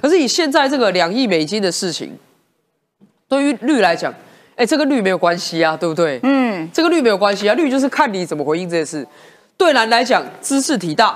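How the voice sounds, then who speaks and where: A woman with a medium-pitched voice talks at a fairly quick pace with very wide pitch swings. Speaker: politician, city councilor. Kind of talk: talk show panel commentary.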